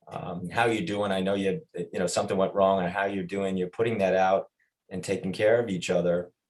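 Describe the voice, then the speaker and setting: A man speaks with a Long Island accent and a fairly low pitch. His pace is moderate. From Long Island, New York. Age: 50s. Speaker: athletics administrator. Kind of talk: podcast interview.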